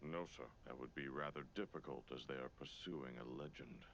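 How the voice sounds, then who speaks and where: A man performs a cartoonish character voice at a very deep, low pitch. Background noise is clearly audible. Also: moderate pace. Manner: formal, stiff.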